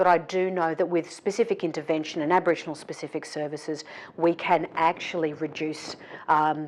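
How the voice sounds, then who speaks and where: A woman's fairly low voice in an Australian accent, at a fairly quick pace. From south coast of New South Wales, Australia. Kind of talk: interview answer.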